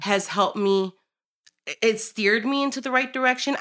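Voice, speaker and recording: Bright and sharp in tone, a woman with a Chicago accent talks at a fairly quick pace on a very clean recording with a silent background. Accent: Chicago American English. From Chicago, US Midwest. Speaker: restaurant co-owner. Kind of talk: interview.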